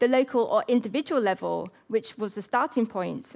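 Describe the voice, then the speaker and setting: Speaking at a moderate pace in a quiet background, a woman has a fairly high pitch with vocal fry. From England. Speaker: academic. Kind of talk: prepared lecture. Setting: festival stage with audience.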